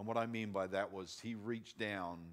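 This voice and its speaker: A man with an unremarkable speaking voice talks at a moderate pace in a fairly low pitch, his intonation fairly even against a quiet background. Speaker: conference speaker. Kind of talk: sermon. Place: stage.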